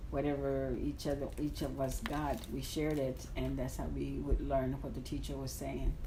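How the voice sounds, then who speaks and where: A woman talks at a moderate pace with hardly any pauses, and the room echo is audible. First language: Spanish. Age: 60s. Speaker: interviewee. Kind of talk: interview. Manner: halting.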